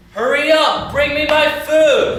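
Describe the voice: Faint music plays behind a man doing a put-on character voice at an extremely high pitch with a fairly bright tone. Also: fairly even intonation, slow pace.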